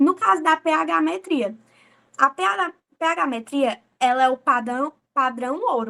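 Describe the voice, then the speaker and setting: In a raised, projected voice with a bright, sharp tone, a woman speaks at a high pitch with very wide pitch swings, recorded dry and close with no echo. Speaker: medical student presenting a class. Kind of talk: lecture.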